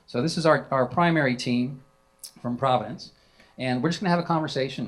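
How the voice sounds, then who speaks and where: With a Southern US accent, a man talks at a fairly quick pace, his pitch varying in an ordinary way. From South Carolina. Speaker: moderator of a worship panel. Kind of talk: panel moderation at a conference.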